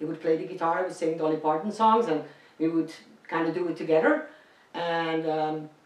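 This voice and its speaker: A woman's fairly low-pitched voice in a Dutch accent, at a fairly quick pace with fairly even intonation and long, frequent pauses, over noticeable background noise. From Netherlands. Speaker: singer. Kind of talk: casual interview.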